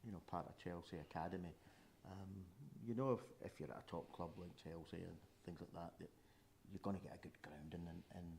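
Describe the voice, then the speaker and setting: The speaker is a man with a Scottish accent. He talks at a fairly quick pace. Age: 70s. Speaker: football fan pundit. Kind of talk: casual chat.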